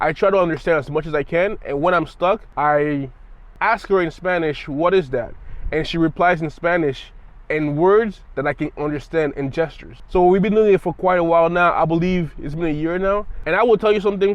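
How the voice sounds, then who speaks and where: A man talks at a fairly quick pace. His voice is high in pitch. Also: ordinary pitch variation. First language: French (bilingual with English). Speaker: language learning vlogger. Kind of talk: casual talk to camera. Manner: halting, with repetitions and filler words.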